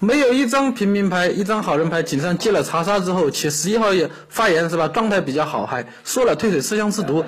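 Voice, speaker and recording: Here a man speaks at a high pitch with lively intonation and very even loudness. His pace is fairly quick, with hardly any pauses. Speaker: werewolf game player. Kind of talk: game discussion. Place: home room.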